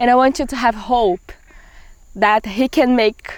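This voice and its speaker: In a Brazilian accent, a woman speaks at a fairly slow pace. Her fairly high voice keeps a fairly even intonation. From Brazil, Pará (Amazon region). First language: Portuguese. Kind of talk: testimony. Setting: outdoors in the forest.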